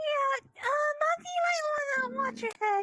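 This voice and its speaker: An extremely high put-on character voice with very wide pitch swings, at a moderate pace. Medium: machinima. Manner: bubbly, uses pet names.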